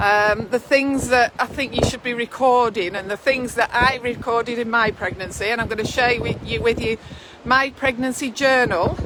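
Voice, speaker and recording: With noticeable background noise behind her, a woman speaks in a high pitch with fairly even intonation. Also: moderate pace. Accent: Lancashire. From northwest England. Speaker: midwife. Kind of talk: casual chat. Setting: outdoors.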